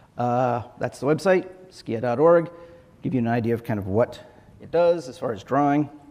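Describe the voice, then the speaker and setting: With lively intonation and big swings in loudness, a man speaks at a medium pitch. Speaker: software engineer, conference speaker. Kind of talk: conference talk. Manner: fast.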